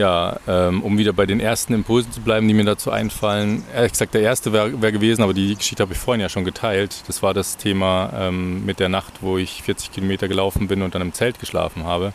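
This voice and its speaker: A man's fairly low voice at a very fast pace, fairly even intonation and hardly any pauses, amid noticeable background noise. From Bavaria, near Munich. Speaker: podcast host, pilgrim. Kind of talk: casual conversation.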